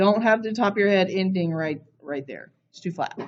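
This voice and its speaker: Here is a woman with an ordinary speaking voice. She talks at a moderate pace. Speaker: art teacher. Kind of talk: classroom lesson.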